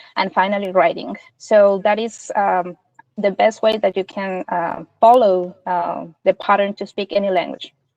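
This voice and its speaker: A woman with a Spanish accent and medium pitch speaks at a moderate pace with fairly even intonation, in a dry, close sound with no echo. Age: 40s. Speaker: interviewee, multilingual speaker. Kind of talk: interview.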